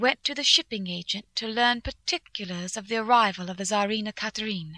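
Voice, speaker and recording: A woman's bright, sharp, fairly high voice at a moderate pace, with ordinary pitch variation and a dry, close sound with no echo. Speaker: audiobook narrator. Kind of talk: dramatic audiobook narration of journal entries. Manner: earnest, tense, emotional, brisk.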